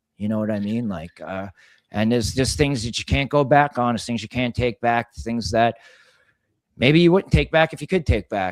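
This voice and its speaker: A man's ordinary speaking voice at medium pitch, fairly quick, with lively intonation and a dry, close sound with no echo. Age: 40s. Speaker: auto body shop owner. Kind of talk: casual chat. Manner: casual, profane and repetitive.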